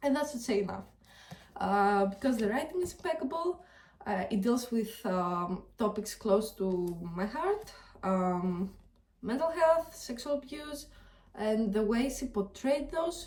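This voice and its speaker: This woman's voice sits high in pitch. It swings very widely up and down. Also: fairly slow pace. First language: not English. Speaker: book reviewer. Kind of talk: casual vlog talk to camera. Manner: hesitant, many filler ums.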